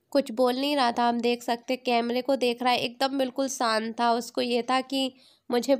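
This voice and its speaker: A woman's high pitch in monotone, flat intonation, on a very clean recording with a silent background. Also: hardly any pauses, very even loudness. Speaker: family vlogger. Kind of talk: vlog voice-over narration.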